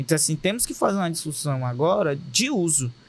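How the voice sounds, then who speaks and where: A high-pitched man with a Cearense accent speaks with lively intonation. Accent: Cearense Brazilian Portuguese. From Fortaleza, Ceará, Brazil. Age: young. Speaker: state deputy and content creator. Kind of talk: podcast interview answer. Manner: direct, popular.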